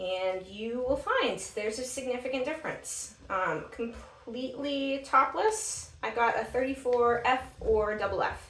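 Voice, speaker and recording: A woman speaks with an American accent. There is noticeable background noise. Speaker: bra fitting enthusiast. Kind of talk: tutorial. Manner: casual with frequent fillers.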